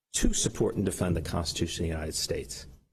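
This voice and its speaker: Somewhat breathy, a man talks at a fairly quick pace amid audible room echo. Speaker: lawyer arguing own case in court. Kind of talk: oral argument before court. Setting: courtroom. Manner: fast.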